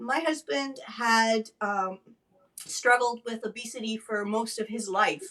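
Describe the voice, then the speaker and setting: A woman's fairly high, bright and sharp voice at a fairly slow pace, with ordinary pitch variation. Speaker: stroke advocate and former nurse. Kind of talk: interview testimony.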